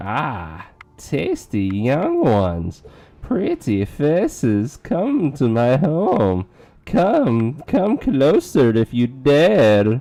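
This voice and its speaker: The voice is a put-on character voice with a creaky sound. It moves at a very slow pace. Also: man, medium pitch for a man. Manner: sinister and luring.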